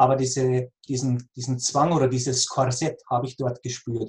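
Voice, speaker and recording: A man speaks at a medium pitch. His voice sounds somewhat breathy. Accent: Bavarian. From Lower Bavaria, near Passau. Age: 40s. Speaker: cancer patient coach. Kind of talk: interview.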